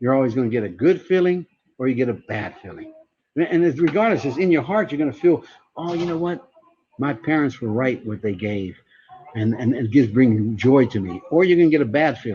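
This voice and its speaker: With an American accent, the speech moves at a fairly quick pace with lively intonation. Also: man, medium pitch for a man. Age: 60s. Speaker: networking speaker and trainer. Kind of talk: motivational talk. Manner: animated.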